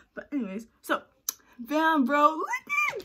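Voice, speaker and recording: This high-pitched woman talks at a moderate pace in a raised, projected voice. Her intonation is lively and her tone animated. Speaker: vlogger. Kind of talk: casual vlog monologue.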